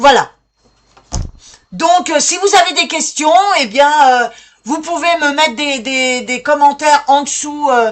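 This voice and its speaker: The pace is very slow, with long, frequent pauses. Pitch variation is ordinary. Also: woman, high pitch for a woman. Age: 60s. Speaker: citizen activist vlogger. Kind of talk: call to action monologue. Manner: halting, many hesitations.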